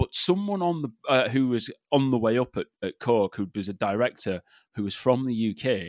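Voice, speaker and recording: The speaker has an English accent and lively intonation. The recording is very clean with a silent background, and the sound is dry and close with no echo. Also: man. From England. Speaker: marketing strategist. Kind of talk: interview. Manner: animated; halting.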